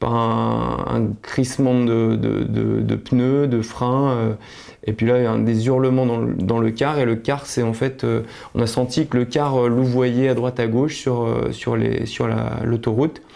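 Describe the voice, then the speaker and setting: The man's volume holds very even throughout. His delivery is fairly slow. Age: 30s. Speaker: accident survivor. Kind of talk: testimony. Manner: halting, many hesitations.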